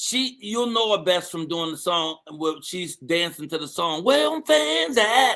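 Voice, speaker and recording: A man speaks at a high pitch with a bright, sharp tone. His intonation is lively. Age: 60s. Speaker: morning show host. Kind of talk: live show hosting, casual chat. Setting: online live stream with studio guests. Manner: animated.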